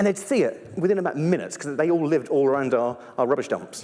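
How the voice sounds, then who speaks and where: A high-pitched man with a British accent and lively intonation. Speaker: primatologist and evolutionary biologist. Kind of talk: live stage talk. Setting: stage with audience. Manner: fast; animated.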